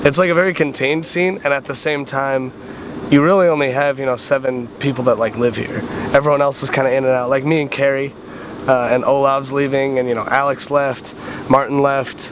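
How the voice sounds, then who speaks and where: A man talks at a fairly quick pace with fairly even intonation. Noticeable background noise runs behind him. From US Midwest, Wisconsin. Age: 20s. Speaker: competitive gamer and university student. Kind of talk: casual interview. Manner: casual, filler-heavy.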